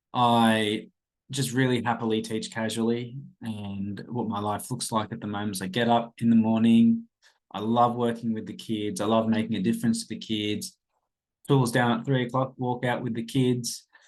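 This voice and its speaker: A man speaks at a moderate pace in a monotone, flat intonation with an Australian accent. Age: 30s. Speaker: podcast host, casual teacher. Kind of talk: casual podcast monologue. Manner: rambling, informal.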